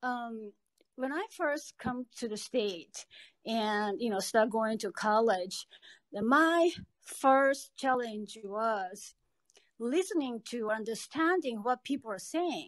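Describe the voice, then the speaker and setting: A woman's fairly high voice with a Japanese accent at a very slow pace, lively intonation, a quiet background and a dry, close sound with no echo. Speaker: podcast participant. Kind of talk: podcast discussion.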